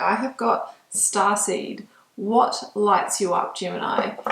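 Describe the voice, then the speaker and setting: With noticeable noise in the background, a woman talks in a fairly high voice whose pitch varies in an ordinary way. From New Zealand. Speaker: tarot reader. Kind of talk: tarot reading to camera; casual personal introduction. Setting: home studio in spare room. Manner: hesitant, many filler ums.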